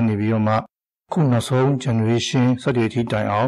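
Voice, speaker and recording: Very clean recording, silent background, with a man in a plain, everyday voice. He holds a medium pitch and fairly even intonation. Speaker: video game hobbyist. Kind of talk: scripted narration. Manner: formal.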